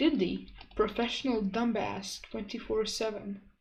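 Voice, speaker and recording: The voice moves at a very slow pace, with audible room echo. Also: woman. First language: Croatian. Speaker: streamer. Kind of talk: casual chat. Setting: live stream.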